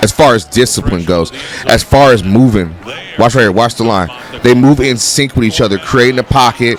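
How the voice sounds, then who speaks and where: The tone is animated, with ordinary pitch variation at a fairly quick pace. Music plays in the background. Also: man, medium pitch for a man. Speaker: football reaction youtuber, coach. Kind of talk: reaction commentary over highlights.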